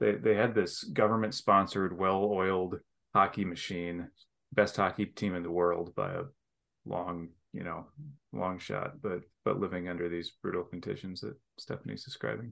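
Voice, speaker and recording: On a very clean recording with a silent background, a man with a very deep, low pitch and an American accent talks at a moderate pace with ordinary pitch variation. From Michigan. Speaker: academic, hockey fan. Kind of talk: casual chat.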